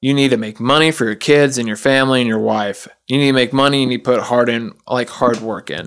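A man's medium-pitched voice at a very fast pace with hardly any pauses and fairly even intonation, on a very clean recording with a silent background. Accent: American. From US South. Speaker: podcast guest, auto plant worker. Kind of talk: casual chat.

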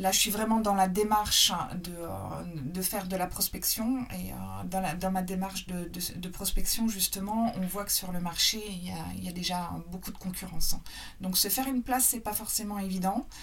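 A woman's mid-pitched voice, with fairly even intonation, comes through noticeable background noise. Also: moderate pace. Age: 40s. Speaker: interior designer and decorator. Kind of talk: casual interview.

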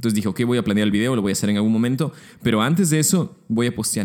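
A man speaks in a medium pitch with lively intonation. His tone is dark and mellow. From Peru, Lima. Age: 20s. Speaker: podcast host, architecture student. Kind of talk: solo podcast monologue.

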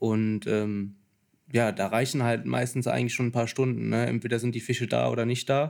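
A man talks at a moderate pace in a medium pitch. His intonation is flat and monotone, his loudness very even. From Lower Rhine, Germany (St. Tönis near Krefeld). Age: 20s. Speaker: carp angler. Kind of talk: casual chat. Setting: tackle shop.

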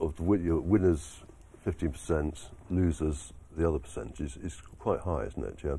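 Very deep and low in pitch, a man speaks with a dark, mellow tone and vocal fry. His pace is fairly slow and his pitch variation ordinary. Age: 60s. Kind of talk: casual interview chat. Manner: halting, hesitant.

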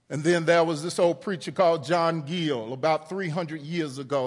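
Over audible room echo, a man with a fairly high pitch speaks at a moderate pace. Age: 50s. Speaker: pastor. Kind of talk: sermon. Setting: church.

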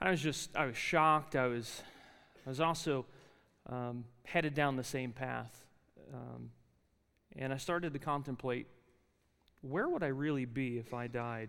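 A man with an American accent, medium in pitch, moderate in pace, bright and sharp in tone, with fairly even intonation, long and frequent pauses, and audible room echo. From South Jersey, US (near Philadelphia). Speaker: chapel speaker and adjunct Bible lecturer. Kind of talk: sermon. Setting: university chapel with student audience.

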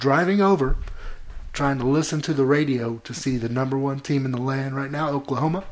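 A man with an unremarkable speaking voice at a medium pitch, fairly quick in pace, his intonation fairly even. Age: 30s. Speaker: podcast co-host. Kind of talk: casual chat.

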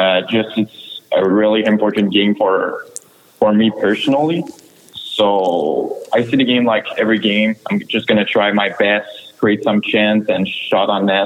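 A man talks at a fairly slow pace with a Quebec accent and very even loudness. Noticeable background noise runs underneath. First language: French. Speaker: junior hockey player. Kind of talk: interview.

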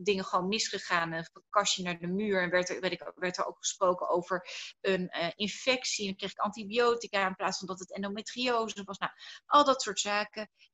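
A woman with an ordinary speaking voice, medium pitch, fairly even intonation and a moderate pace. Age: 30s. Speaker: entrepreneur and speaker on personal growth. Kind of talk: interview.

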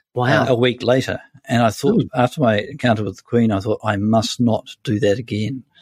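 Talking at a fairly quick pace, a man with a New Zealand accent and medium pitch keeps his intonation fairly even in a dry, close sound with no echo. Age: 60s. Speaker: senior journalist. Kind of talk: interview conversation.

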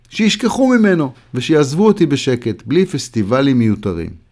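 At a moderate pace, a man speaks with very wide pitch swings in a very clean recording with a silent background. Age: 60s. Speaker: columnist. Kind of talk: reading aloud.

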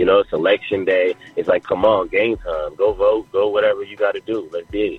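Music plays in the background as a man with a New York accent talks at a fairly quick pace. He leaves hardly any pauses. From Jamaica, Queens, New York. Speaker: hip hop artist. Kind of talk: radio interview.

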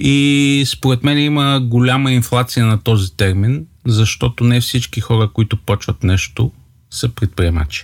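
A man's plain, everyday voice at medium pitch, fairly slow in pace, with ordinary pitch variation, very even loudness and a dry, close sound with no echo. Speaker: startup co-founder. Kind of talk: casual chat.

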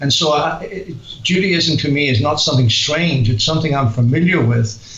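A man with a Northern Irish accent, fairly high pitch and ordinary pitch variation, over noticeable background noise. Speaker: author, guest on radio show; former pastor.

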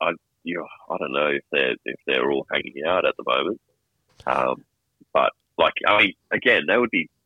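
The speaker has an Australian accent and a moderate pace, with long, frequent pauses. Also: man. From Sydney. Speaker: caller. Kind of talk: casual chat. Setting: phone call.

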